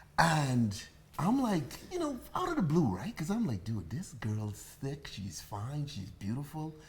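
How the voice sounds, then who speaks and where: In a Bahamian accent, a man speaks at a fairly slow pace and fairly high pitch, with very wide pitch swings and audible room echo. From Bahamas. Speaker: bartender and livestream host. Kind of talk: casual chat. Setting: livestream at home. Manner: animated.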